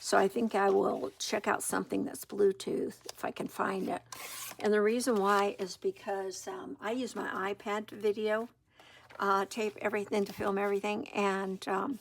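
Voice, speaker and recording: Soft-spoken, a woman talks at a moderate pace in a medium pitch with fairly even intonation. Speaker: junk journal crafter. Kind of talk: crafting tutorial. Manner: hesitant, many fillers. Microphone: iPad built-in mic, no external mic.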